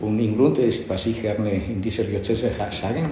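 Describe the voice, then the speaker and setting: With noticeable background noise and audible room echo, a man in a Catalan accent speaks with fairly even intonation. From Barcelona, Catalonia. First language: Catalan (speaking German). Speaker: bishop. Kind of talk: interview.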